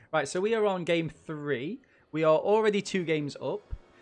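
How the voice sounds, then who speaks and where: An animated man with an East Midlands accent, high-pitched and lively in intonation, at a fairly quick pace. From England, Nottingham. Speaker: gaming streamer. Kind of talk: live game commentary.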